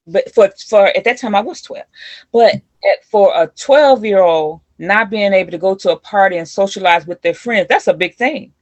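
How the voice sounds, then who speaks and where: Over a quiet background, a woman with an American accent speaks at a moderate pace and medium pitch in an unremarkable speaking voice, with ordinary pitch variation and a dry, close sound that has no echo. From US Midwest, East St. Louis area then Milwaukee. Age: 60s. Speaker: community leader and youth mentor. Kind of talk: interview.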